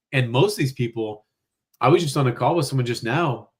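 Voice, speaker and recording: Talking at a very fast pace, a man uses a medium pitch and an animated tone. His voice is somewhat breathy. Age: 40s. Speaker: weight loss doctor, former chiropractor. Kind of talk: live-streamed interview. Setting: live stream.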